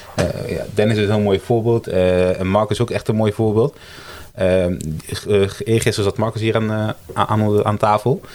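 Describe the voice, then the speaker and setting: A man talks at a fairly low pitch. Noticeable background noise runs underneath. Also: fairly even intonation, moderate pace. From Italy. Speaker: brand designer, agency co-founder. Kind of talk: casual interview chat. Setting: around a table in person.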